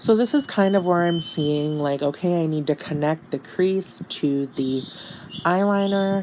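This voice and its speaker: Lively intonation carries this fairly slow delivery over noticeable background noise. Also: woman, fairly low pitch for a woman. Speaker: beauty youtuber. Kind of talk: tutorial. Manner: halting, many fillers; casual.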